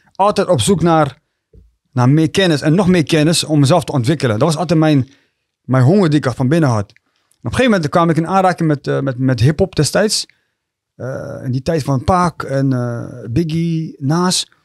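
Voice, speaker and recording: At a moderate pace and with ordinary pitch variation, the voice comes through as a dry sound with no echo against a quiet background. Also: man, fairly high pitch for a man. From Rotterdam, Netherlands (born in Eritrea); Netherlands. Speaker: rapper and youth coach; youth coach. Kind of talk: casual chat. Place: studio. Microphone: studio mic.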